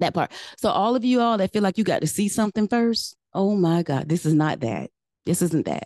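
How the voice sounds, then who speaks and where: A woman's medium-pitched voice, dark and mellow, with lively intonation at a fairly quick pace, very even loudness, and a dry, close sound with no echo against a quiet background. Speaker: church minister leading prayer and preaching. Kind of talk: sermon with opening prayer. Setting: church service, also streamed online. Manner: fervent, repetitive prayer cadence.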